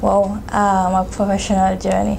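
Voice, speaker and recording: Over noticeable background noise, a woman talks at a fairly slow pace in a medium pitch. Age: young. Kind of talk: interview answer.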